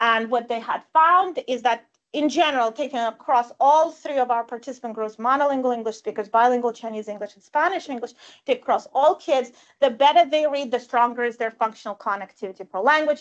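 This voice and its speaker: A woman with a Russian accent talks at a fairly quick pace and high pitch, with ordinary pitch variation. Her loudness swings widely over a quiet background. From Russia / former Soviet Union. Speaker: professor. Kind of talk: lecture. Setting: live-streamed talk with audience. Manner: conversational, frequent fillers.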